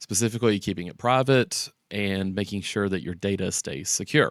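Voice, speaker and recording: At a moderate pace and with ordinary pitch variation, an ordinary speaking voice is heard. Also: man. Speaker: tech tutorial YouTuber. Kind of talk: tutorial. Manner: casual with many fillers.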